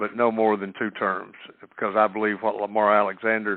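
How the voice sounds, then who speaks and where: In an Appalachian accent, a man talks at a moderate pace with a fairly low pitch and a monotone, flat intonation. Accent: Appalachian Southern US. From East Tennessee. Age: 60s. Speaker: political candidate. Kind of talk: phone-in Q&A. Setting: conference call. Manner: halting with many fillers.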